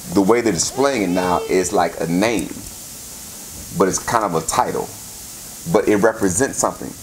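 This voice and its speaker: Long pauses come often. The room echo is audible, and background noise is noticeable. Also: man, fairly low pitch for a man, ordinary pitch variation, moderate pace. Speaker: pastor. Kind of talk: sermon. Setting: church service with congregation. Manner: interactive, call-and-response.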